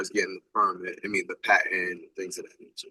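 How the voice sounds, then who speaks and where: Heard with a dry, close sound and no echo, a man is speaking. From New York, Harlem. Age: 30s. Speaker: basketball content creator and street fighter. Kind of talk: interview.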